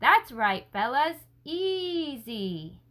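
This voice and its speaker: A woman puts on a high-pitched character voice with very wide pitch swings. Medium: read story. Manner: low, muttering.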